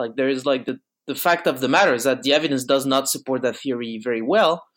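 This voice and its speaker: A man with a French accent and a fairly high pitch, talking at a very fast pace, on a very clean recording with a silent background. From France, Bordeaux. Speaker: philosophy student. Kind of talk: casual chat.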